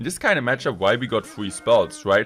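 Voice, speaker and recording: With music in the background, a man speaks very fast in a German accent. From Germany. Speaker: gaming YouTuber. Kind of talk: gameplay commentary. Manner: animated.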